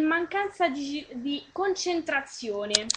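A woman's extremely high-pitched voice with very wide pitch swings, over noticeable background noise. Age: 20s. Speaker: web radio host. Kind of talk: casual chat. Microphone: unstable connection.

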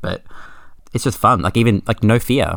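A man talks with an Australian accent. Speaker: podcast guest, pinball player. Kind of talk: casual chat.

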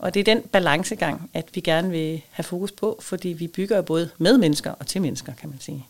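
A woman with a fairly low pitch talks at a fairly quick pace, her loudness swinging widely while her pitch varies in an ordinary way. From Denmark, southern Funen. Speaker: head of an industry association secretariat. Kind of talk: interview. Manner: hesitant, many fillers.

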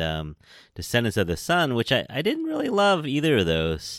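Talking at a fairly quick pace with a West Coast American accent, a man makes very wide pitch swings. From San Francisco, California. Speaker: podcast host. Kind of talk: casual chat.

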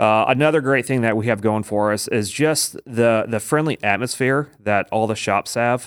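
On a very clean recording with a silent background, a man with a Midwestern American accent speaks at a moderate pace and medium pitch, with ordinary pitch variation and hardly any pauses. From Indiana, US Midwest. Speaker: small business district manager. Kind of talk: casual interview. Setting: studio.

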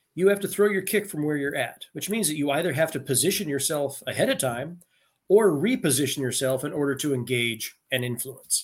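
The voice is somewhat breathy, with an American accent. It moves at a fairly quick pace with lively intonation. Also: man, fairly high pitch for a man. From rural Pennsylvania. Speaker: retired army officer and leadership coach. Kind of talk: interview conversation.

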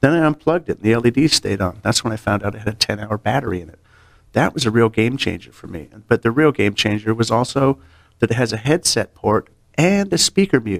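In an ordinary speaking voice with an American accent, the speaker moves at a fairly quick pace with lively intonation, the sound dry and close with no echo. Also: man, medium pitch for a man, big swings in loudness. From California. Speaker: audio industry sales engineer. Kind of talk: casual interview.

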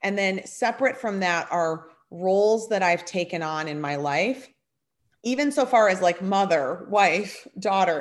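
On a very clean recording with a silent background, a woman with an unremarkable speaking voice talks fairly slowly at a medium pitch with lively intonation. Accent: American. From Minnesota, US Upper Midwest. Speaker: television and radio personality. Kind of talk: casual interview chat.

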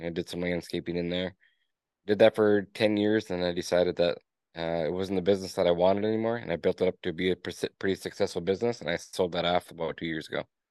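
In a dry, close sound with no echo and a quiet background, the speaker talks at a very fast pace with monotone, flat intonation. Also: man. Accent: Upper Peninsula Michigan. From Upper Peninsula of Michigan (Escanaba). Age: 30s. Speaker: business owner. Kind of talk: interview. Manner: casual.

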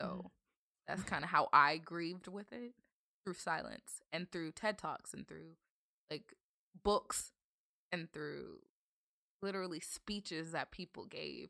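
A woman with an American accent at a fairly slow pace, long pauses coming often, the sound dry and close with no echo. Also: big swings in loudness. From Northern Virginia, US. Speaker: content creator. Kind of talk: casual chat.

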